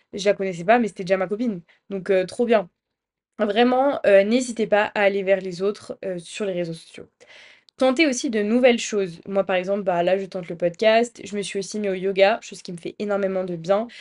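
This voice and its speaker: At a moderate pace, a woman speaks in a normal speaking voice of medium pitch, with ordinary pitch variation and big swings in loudness. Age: 20s. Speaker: student podcaster. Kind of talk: casual monologue.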